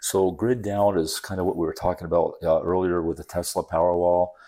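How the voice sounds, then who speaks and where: A man with an American accent speaks in a very deep, low pitch at a fairly quick pace, his intonation monotone and flat. His tone is dark and mellow, and the recording is very clean with a silent background. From upstate New York, Adirondacks. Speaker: solar company founder. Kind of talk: interview.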